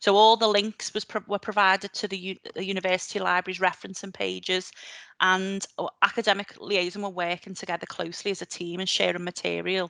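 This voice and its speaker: Fairly quick and monotone, a woman with a Liverpool accent speaks at a medium pitch in a bright, sharp tone, with a dry, close sound with no echo and a quiet background. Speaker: librarian. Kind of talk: conference presentation. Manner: hesitant, many fillers.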